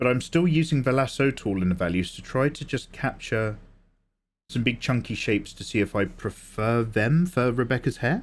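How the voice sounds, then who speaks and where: A man's voice with ordinary pitch variation in a very clean recording with a silent background. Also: medium pitch for a man, moderate pace. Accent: English. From England. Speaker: artist livestreamer. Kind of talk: casual livestream chat while drawing.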